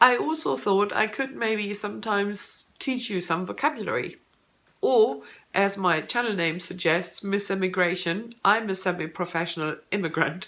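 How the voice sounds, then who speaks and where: Delivered at a moderate pace, the speech has lively intonation and a German accent. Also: woman, medium pitch for a woman. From Germany. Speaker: booktuber. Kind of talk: casual vlog, tag video. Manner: hesitant, with filler words.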